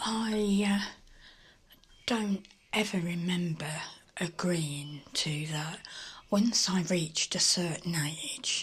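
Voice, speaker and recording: A woman speaks very slowly in a calm, gentle tone, her pitch fairly low and somewhat breathy. Her pitch varies in an ordinary way, and she leaves long, frequent pauses. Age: 60s. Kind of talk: casual talk to camera.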